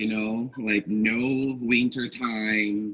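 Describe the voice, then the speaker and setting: A man with a Portuguese accent speaks at a very slow pace in a medium pitch, his intonation monotone and flat. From Northeast Brazil. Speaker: podcast guest. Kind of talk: casual chat.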